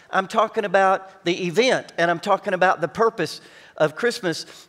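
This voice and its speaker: The background is free of noise and quiet. A man talks. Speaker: pastor. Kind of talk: sermon. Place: stage. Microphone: headset.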